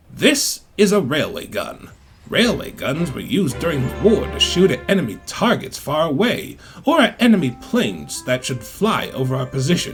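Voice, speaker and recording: A man uses a put-on character voice, pitched fairly high, at a moderate pace. Clear music plays in the background. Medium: audio drama. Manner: matter-of-fact, dry.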